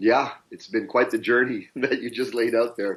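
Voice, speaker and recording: At a medium pitch, a man uses a normal speaking voice. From Canada, of Indian descent. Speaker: business and life coach. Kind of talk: interview conversation.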